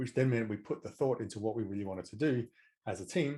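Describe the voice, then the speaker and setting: His voice has a dark, mellow tone and a medium pitch. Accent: Australian. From Australia. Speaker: management coach, former tech manager. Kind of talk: interview.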